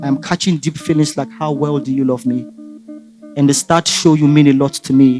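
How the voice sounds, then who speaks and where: A man with a Nigerian accent speaks at a moderate pace, his pitch fairly high and his intonation fairly even. Music plays in the background. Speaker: spoken word poet. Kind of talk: spoken word poetry performance.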